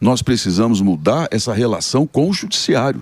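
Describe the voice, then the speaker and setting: Vocal fry marks a man's fairly quick speech, which has very wide pitch swings and a dry, close sound with no echo. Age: 60s. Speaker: senator. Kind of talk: radio interview.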